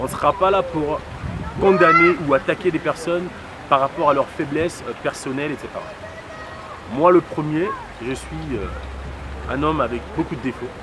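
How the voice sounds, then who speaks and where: Ordinary pitch variation at a moderate pace, with noticeable background noise. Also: man. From DR Congo. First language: Lingala (speaking French). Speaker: political activist. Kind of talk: interview monologue. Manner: hesitant with many fillers.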